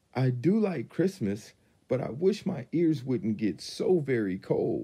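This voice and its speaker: A man puts on a character voice with a fairly high pitch and very wide pitch swings. He sounds shaky and moves at a fairly slow pace. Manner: shivery, quivery.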